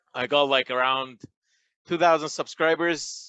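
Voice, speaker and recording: A man with an Iranian accent speaks at a fairly high pitch. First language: Farsi. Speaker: stand-up comedian. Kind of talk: casual chat. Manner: halting, many fillers.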